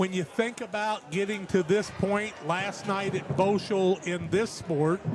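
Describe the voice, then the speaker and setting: Speaking fairly slowly with fairly even intonation, a man with a high voice is heard over noticeable background noise. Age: 70s. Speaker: sports broadcaster. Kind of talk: sideline interview. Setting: school gymnasium.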